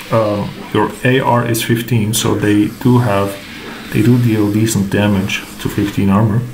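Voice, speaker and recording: A man with a non-native accent speaks at a fairly slow pace in a fairly low pitch, his loudness very even and his intonation monotone and flat. Long, frequent pauses break up his speech over noticeable background noise. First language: not English. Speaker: gaming content creator. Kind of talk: tutorial. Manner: hesitant, filler words.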